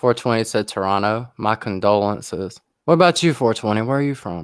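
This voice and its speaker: A man with a Southern US accent, medium pitch, lively intonation and a fairly quick pace. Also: very clean recording, silent background. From US South, South Carolina. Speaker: YouTuber live streamer. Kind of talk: casual chat on a livestream.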